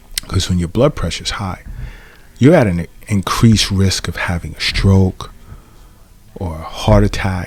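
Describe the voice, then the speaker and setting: Long, frequent pauses break up a man's speech against noticeable background noise. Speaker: acupuncturist podcast host. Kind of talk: podcast monologue. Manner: casual, with fillers and restarts.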